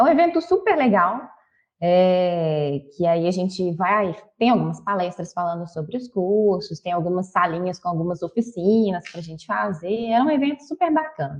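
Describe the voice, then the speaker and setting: A woman speaks with a Minas Gerais accent. Her intonation is lively. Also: medium pitch for a woman, moderate pace. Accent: mineiro Brazilian Portuguese. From Brazil, Minas Gerais (Belo Horizonte). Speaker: university professor. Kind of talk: interview.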